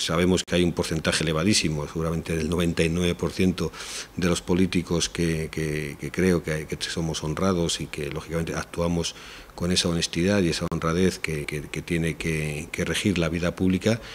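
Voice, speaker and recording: A man speaks at a moderate pace in a very deep, low voice, his intonation flat and monotone over light background noise. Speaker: interviewee. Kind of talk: interview answer. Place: hall. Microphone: handheld.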